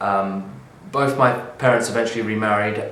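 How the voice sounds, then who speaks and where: A man at a fairly low pitch and fairly slow pace, with audible room echo and noticeable background noise. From southern England (Bognor Regis, West Sussex). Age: 20s. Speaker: artist. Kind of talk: reading aloud a transcript of his own life story. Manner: hesitant, with ums and uhs.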